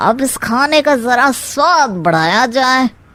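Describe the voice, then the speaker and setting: A woman's high-pitched, cartoonish character voice, fairly slow with lively intonation. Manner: gossipy, sly.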